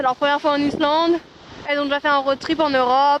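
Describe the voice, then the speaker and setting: Noticeable background noise surrounds a woman speaking at a high pitch. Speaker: travel vlogger. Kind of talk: casual vlog narration. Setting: outdoors in Iceland. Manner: loud; animated, rambling with many fillers.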